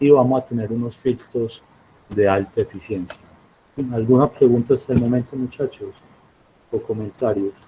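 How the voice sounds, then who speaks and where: A man speaks with a dark, mellow tone, somewhat breathy, with fairly even intonation. His pace is moderate, broken by long, frequent pauses. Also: medium pitch for a man. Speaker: university professor. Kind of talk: lecture.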